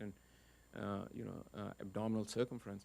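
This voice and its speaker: A man with a fairly low pitch talks at a very fast pace, his intonation fairly even. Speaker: physician audience member. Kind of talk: audience question and comment.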